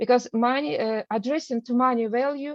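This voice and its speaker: With a non-native accent, a woman speaks at a moderate pace with fairly even intonation, the sound dry and close with no echo. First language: not English. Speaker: art researcher presenting. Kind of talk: lecture. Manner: halting, many fillers.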